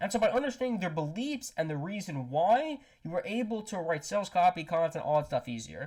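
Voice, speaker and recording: A man speaks with very wide pitch swings on a very clean recording with a silent background. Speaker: ghostwriter and AI tutorial creator. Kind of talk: tutorial. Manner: halting with false starts.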